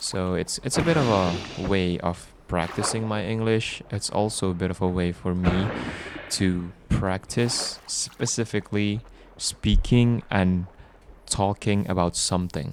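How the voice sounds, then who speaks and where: With a non-native accent, a man speaks fairly slowly at a very deep, low pitch with fairly even intonation. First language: not English. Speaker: gaming sleep video creator. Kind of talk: casual gameplay commentary for sleep. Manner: slow, relaxed; halting.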